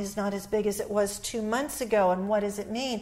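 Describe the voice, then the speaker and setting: A woman's medium-pitched voice, an ordinary speaking voice, moves at a moderate pace. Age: 60s. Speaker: author and relationship expert. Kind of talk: interview.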